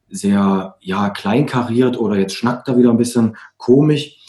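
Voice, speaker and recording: The speaker is a man with a medium-pitched voice. Dark and mellow, his tone carries through. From East Germany. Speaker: author and coach. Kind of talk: casual interview.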